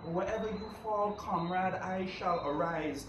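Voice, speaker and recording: Noticeable background noise sits behind a man with a high pitch, who speaks at a fairly slow pace with ordinary pitch variation. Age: young. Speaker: poetry reader. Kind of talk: poetry reading.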